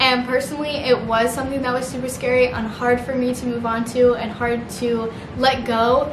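Over noticeable background noise, a woman with an American accent speaks at a high pitch in a monotone, flat intonation, with hardly any pauses. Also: moderate pace. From Missouri. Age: 20s. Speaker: YouTuber. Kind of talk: casual vlog talk to camera. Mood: earnest, supportive. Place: home room.

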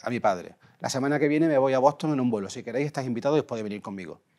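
With a quiet background, a man speaks using ordinary pitch variation. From Andalusia, Spain (Huelva); Andalusia, Spain. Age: 40s. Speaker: composer and music producer. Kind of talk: interview. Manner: halting, repeats words. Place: studio. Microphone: lapel.

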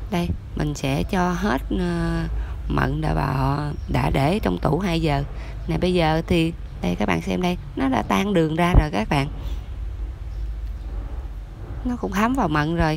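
Over light background noise, the speaker goes at a fairly slow pace with long, frequent pauses. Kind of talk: tutorial. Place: kitchen. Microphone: phone near.

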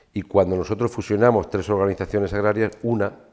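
The background stays quiet. A man talks at a moderate pace. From Spain, Ciudad Real (La Mancha); Castile-La Mancha, Spain. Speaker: farmer and agricultural association leader; guest. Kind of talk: casual interview. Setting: studio with small audience. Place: studio. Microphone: lapel.

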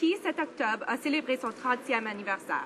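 Her pitch is high and her intonation lively as a woman talks at a moderate pace. Light background noise can be heard. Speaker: member of parliament. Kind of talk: parliamentary member's statement in the House of Commons. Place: hall. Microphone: podium.

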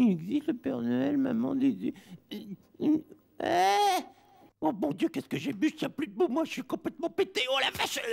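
A man puts on a character voice at an extremely high pitch. He keeps a moderate pace with long, frequent pauses. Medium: dub. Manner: slurred, stammering.

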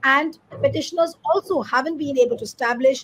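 A woman is speaking. She keeps a moderate pace. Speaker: news show host. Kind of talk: news commentary introduction. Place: home room. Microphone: video call.

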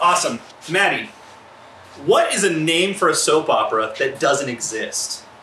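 A man's speech carries audible room echo along with light background noise. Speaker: improv host. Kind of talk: explaining game rules to players. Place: garage.

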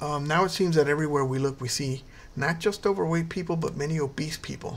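A man speaks with a fairly high pitch and a somewhat breathy quality. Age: 50s. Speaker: health educator video creator. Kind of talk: tutorial. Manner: casual with many fillers.

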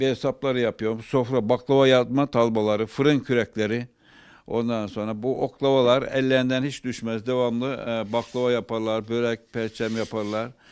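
Flat, monotone intonation from a man at medium pitch. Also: moderate pace. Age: 80s+. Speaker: carpenter. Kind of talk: interview answer.

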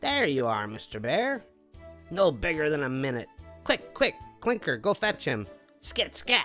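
A put-on character voice, low-to-middle in pitch, cackles at a moderate pace with long, frequent pauses while faint music plays in the background. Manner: cackling.

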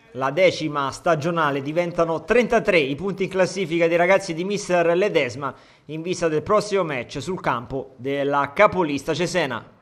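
Here a man talks at a fairly slow pace in a high pitch. His pitch variation is ordinary. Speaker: sports commentator. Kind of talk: live sports commentary.

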